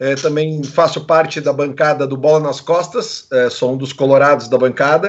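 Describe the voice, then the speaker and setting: This man has a normal speaking voice at a fairly high pitch, with ordinary pitch variation. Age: 40s. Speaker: radio presenter. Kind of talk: casual chat.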